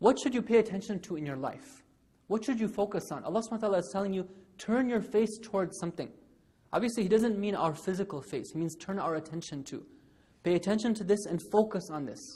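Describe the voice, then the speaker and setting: A man talks very fast at a high pitch. His tone is dark and mellow, with ordinary pitch variation. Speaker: religious lecturer. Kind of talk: sermon.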